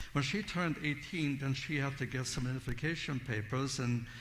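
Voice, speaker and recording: At a moderate pace, a man with a medium pitch and a somewhat breathy voice speaks with ordinary pitch variation amid audible room echo. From Siberia, Russia. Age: 70s. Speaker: Bible teacher. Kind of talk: testimony.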